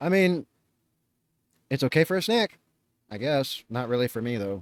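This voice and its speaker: Speaking at a moderate pace and medium pitch, a man uses very wide pitch swings. The recording is very clean with a silent background, and the sound is dry and close with no echo. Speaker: reaction youtuber. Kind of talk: reaction commentary. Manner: coughing, choking at times.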